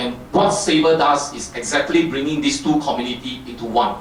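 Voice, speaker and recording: Audible room echo and noticeable background noise surround the voice. A man speaks with a fairly high pitch. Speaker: company technical presenter. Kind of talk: technical talk. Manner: fast; halting, many fillers.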